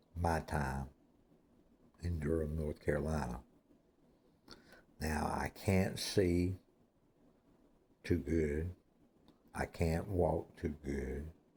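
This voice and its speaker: A man with a very deep, low voice and a dark, mellow tone speaks at a very slow pace, somewhat breathy. His intonation is fairly even, with long, frequent pauses. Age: 60s. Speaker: former prisoner telling his life story. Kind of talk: personal monologue. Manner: repetitive.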